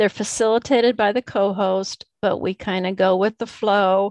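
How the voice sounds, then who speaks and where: A woman is heard with a dry, close sound with no echo against a quiet background. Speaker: learning expert and discussion group co-host. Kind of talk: casual interview conversation. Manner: enthusiastic.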